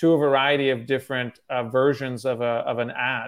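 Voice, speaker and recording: In a normal speaking voice, a man with an American accent talks with ordinary pitch variation. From Russia (Moscow), then US from age nine. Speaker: startup CEO. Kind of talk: interview.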